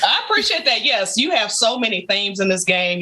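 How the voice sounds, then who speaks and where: A woman speaks with an American accent. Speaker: gaming YouTuber. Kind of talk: casual chat.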